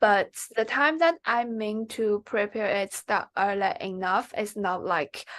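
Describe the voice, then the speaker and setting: A woman speaks very slowly with a Chinese accent. Her pitch varies in an ordinary way against a quiet background. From China. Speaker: MBA applicant, former student. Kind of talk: interview. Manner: halting.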